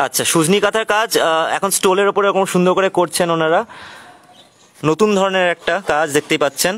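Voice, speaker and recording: A man speaks with a high pitch. His intonation stays fairly even. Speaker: online craft showcase host. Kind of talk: live product showcase. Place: garden.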